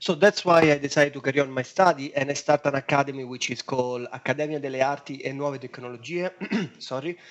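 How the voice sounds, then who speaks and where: A man speaks very fast in a strong Italian accent, his pitch fairly high with fairly even intonation. Noticeable background noise sits under the recording. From Italy, Rome. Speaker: web designer. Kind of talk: podcast interview.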